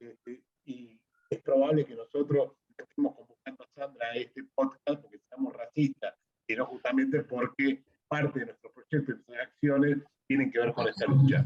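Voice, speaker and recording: Loudness swings widely as a man talks at a moderate pace. The sound is dry and close with no echo. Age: 60s. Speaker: podcast host. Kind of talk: interview conversation.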